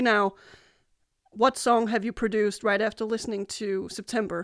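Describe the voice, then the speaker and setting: Here a woman speaks with a Danish accent at a fairly high pitch and a moderate pace. The recording is very clean, with a silent background. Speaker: music radio host. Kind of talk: interview. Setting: video chat. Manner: halting.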